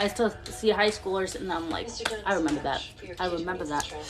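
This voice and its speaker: Fairly quick delivery in a fairly even tone, with music playing in the background. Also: woman. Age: 20s. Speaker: vlogger. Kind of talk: casual chat. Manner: halting.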